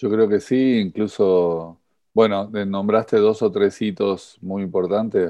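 Over a quiet background, a man with a Rioplatense accent speaks in a dark, mellow tone. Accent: Argentine Spanish (Rioplatense voseo). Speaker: rowing coach and podcast host. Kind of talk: interview.

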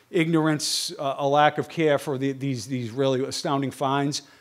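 A man's fairly high voice in a Boston accent, with fairly even intonation. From Boston, US. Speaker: stonemason and TV researcher. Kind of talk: lecture. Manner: fast.

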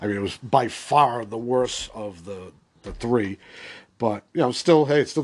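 A man talks in a normal speaking voice with an American accent, at a moderate pace with ordinary pitch variation. The background is quiet. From Boston area, US Northeast. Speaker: podcast host. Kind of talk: solo movie-opinion podcast, casual and conversational; at 27:58 an angry, sweary rant. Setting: solo podcast recording. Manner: rambling, filler-heavy, casual.

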